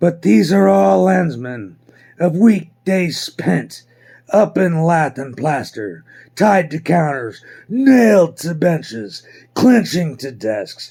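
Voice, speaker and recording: Pitched fairly high, a man speaks at a very slow pace with very wide pitch swings. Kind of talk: classic audiobook reading. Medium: read story. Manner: measured, reflective.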